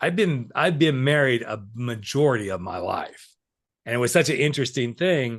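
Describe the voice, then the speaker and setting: The background is quiet as a man speaks at a fairly quick pace and medium pitch. His tone is animated and his intonation lively. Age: 60s. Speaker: podcast host and life coach. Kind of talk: casual interview chat. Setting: podcast recording. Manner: conversational, animated.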